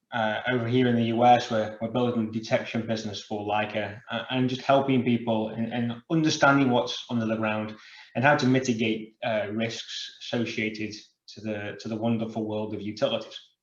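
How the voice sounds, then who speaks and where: In a British accent and with audible room echo, a man of medium pitch speaks at a fairly quick pace with monotone, flat intonation. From United Kingdom. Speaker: sales manager, industry speaker. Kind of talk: conference presentation. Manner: filler words and repetitions.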